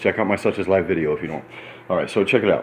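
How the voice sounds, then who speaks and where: A man with an animated tone. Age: 30s. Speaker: vlogger, former prisoner. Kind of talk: casual monologue vlog. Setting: hotel room. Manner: fast.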